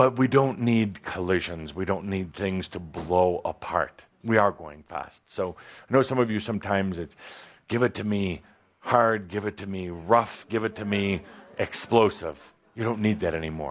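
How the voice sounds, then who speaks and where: Here a man uses an ordinary speaking voice with a fairly low pitch and ordinary pitch variation. His pace is moderate, and his loudness swings widely. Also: quiet background. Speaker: spiritual channeler. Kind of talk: spiritual teaching session.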